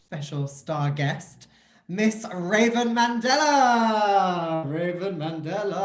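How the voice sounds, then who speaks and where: A man talks with ordinary pitch variation, and audible room echo is heard around him. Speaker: drag host. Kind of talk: casual online show hosting. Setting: video call.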